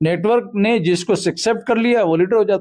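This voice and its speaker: A man's voice comes through with a dark, mellow tone. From Maharashtra, India. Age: 60s. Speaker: national organisation leader. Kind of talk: interview. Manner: forceful, combative.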